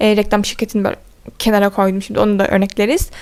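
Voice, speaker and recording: A woman talks at a fairly quick pace. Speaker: content creator. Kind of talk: Q&A vlog. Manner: fast.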